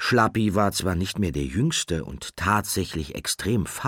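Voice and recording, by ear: This is someone reading aloud. The delivery is in a natural voice.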